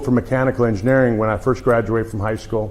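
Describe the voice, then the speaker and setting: Over noticeable background noise, a man with an American accent talks very fast at medium pitch with fairly even intonation. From US. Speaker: chiropractor. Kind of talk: lecture.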